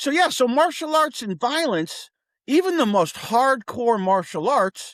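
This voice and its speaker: With very wide pitch swings, a man speaks at an extremely high pitch and a fairly slow pace on a very clean recording with a silent background. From US Northeast, Connecticut (Wethersfield). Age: 60s. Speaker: martial arts teacher. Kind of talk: podcast interview. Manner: casual, animated.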